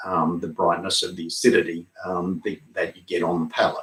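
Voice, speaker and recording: His pitch swinging very widely, a man speaks in an Australian accent. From Australia (Barossa Valley, South Australia). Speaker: winemaker. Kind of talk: virtual wine tasting. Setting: home studio, live stream. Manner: frequent fillers (um).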